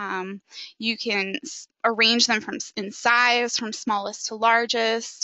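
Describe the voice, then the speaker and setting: A woman with a plain, everyday voice, fairly high in pitch, ordinary in pitch variation, at a fairly slow pace. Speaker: social work graduate student presenter. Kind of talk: webinar presentation. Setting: online webinar. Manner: many filler ums.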